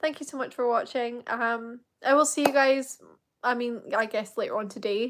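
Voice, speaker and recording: A woman with a British accent has a high pitch and ordinary pitch variation. She keeps a moderate pace. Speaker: Eurovision fan YouTuber. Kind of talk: live reaction stream. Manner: animated.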